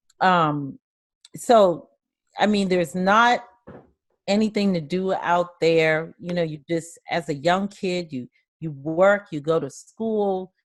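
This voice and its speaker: A woman speaks at a very slow pace. Her pitch is fairly low and varies in an ordinary way. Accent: Southern US. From US South, rural South Carolina. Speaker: life coach. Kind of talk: interview.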